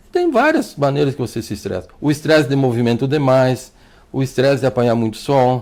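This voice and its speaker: Speaking fairly quickly, a man uses a medium pitch that varies in an ordinary way. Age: 60s. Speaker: doctor. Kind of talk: TV interview. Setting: TV studio. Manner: halting, repeats words.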